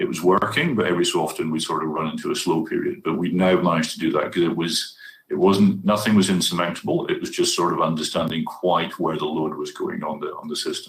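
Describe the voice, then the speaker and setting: A man with a Scottish accent at a very fast pace with hardly any pauses. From Scotland. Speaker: university IT presenter. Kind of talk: conference Q&A answer.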